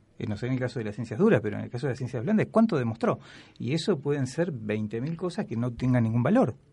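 A somewhat breathy voice with a dark, mellow tone speaks very fast with lively intonation. The background is quiet. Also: man, medium pitch for a man. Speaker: history lecturer. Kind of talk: casual chat. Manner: halting.

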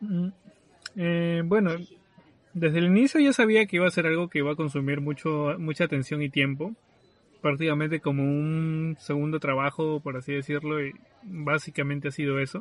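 A man with an unremarkable speaking voice, fairly high in pitch, with ordinary pitch variation at a moderate pace. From Peru, southern Lima. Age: 20s. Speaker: podcast host, architect. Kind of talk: casual chat. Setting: remote recording from separate locations.

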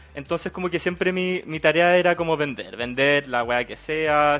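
With normal pitch movement, a man talks in a normal speaking voice. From Chile, Quillota. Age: 20s. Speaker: bookseller and podcaster. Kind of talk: casual chat.

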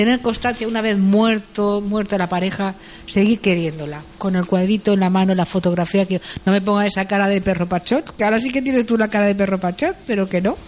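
This woman talks at a fairly quick pace. Her voice is medium in pitch. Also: very even loudness. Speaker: news curiosities contributor. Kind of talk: casual chat. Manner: animated.

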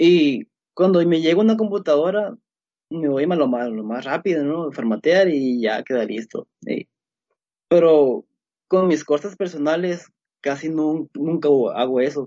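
Using lively intonation and a fairly high pitch, a man talks at a fairly slow pace with long, frequent pauses. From Mexico, Sinaloa. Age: 20s. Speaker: computer engineer and security researcher. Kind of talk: casual interview. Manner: halting, many fillers.

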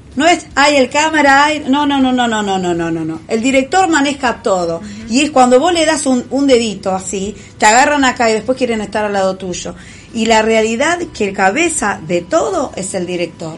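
Against noticeable background noise, a woman with a Rioplatense accent talks at a moderate pace, her fairly high pitch swinging very widely. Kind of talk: casual chat.

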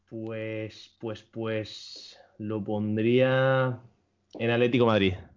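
A man speaks at a very slow pace. His medium-pitched voice is monotone and flat. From Barcelona, Spain. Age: 20s. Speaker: professional esports player. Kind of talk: casual interview.

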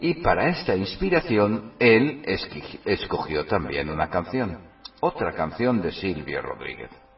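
A man's fairly low voice, very wide pitch swings and a fairly slow pace, over music in the background. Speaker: radio host. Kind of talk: poetry declamation of romantic, sensual verse, read dramatically. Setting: online radio studio.

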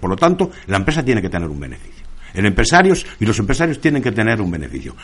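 A man's very fast speech with very wide pitch swings, amid noticeable background noise. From Spain, El Bierzo (León). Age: 50s. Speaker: former miner and union leader. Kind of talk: radio interview.

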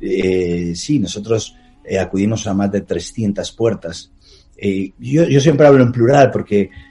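Music plays in the background. A man speaks at a fairly low pitch with lively intonation. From Spain, Palencia. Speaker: travel documentary filmmaker. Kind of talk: interview.

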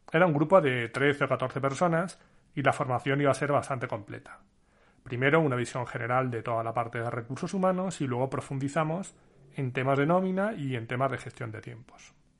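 Against a quiet background, a man talks at a fairly quick pace in a medium pitch with ordinary pitch variation. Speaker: podcast host, IT consultor. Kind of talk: personal storytelling monologue. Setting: home recording setup.

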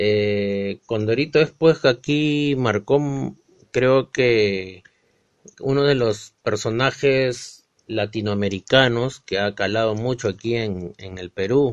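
A man's medium-pitched voice at a very slow pace, with ordinary pitch variation and big swings in loudness. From Peru. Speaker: podcast host. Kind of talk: casual chat.

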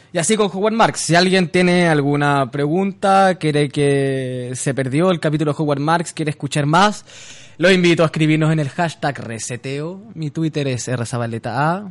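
A man with a Chilean accent and a fairly high pitch speaks at a moderate pace with ordinary pitch variation. Noticeable background noise is present. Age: 20s. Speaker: radio host. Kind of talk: casual chat.

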